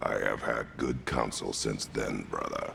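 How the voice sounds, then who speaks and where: Amid clear background noise, a man does a put-on character voice at a fairly slow pace. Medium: video game. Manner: terse, grave.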